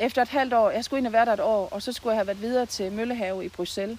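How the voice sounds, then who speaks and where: A woman talks at a fairly quick pace in a normal speaking voice, fairly high in pitch with ordinary pitch variation. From Southern Jutland, Denmark (near Haderslev). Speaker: nurse and local political candidate. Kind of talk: interview. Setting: outdoors in a garden.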